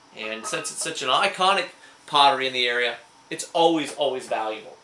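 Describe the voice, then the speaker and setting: A man with an American accent speaks at a fairly quick pace in a fairly high pitch, his enthusiastic tone carried by lively intonation and big swings in loudness over noticeable background noise. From Indiana, USA. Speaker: licensed auctioneer and antique dealer. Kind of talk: casual talk to camera, show-and-tell of antique finds. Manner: enthusiastic, chatty.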